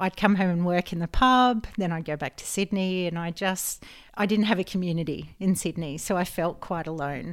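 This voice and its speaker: In an Australian accent, the speaker goes at a moderate pace with ordinary pitch variation on a very clean recording with a silent background. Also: woman, fairly low pitch for a woman. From rural New South Wales, Australia. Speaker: health coach. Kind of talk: casual interview.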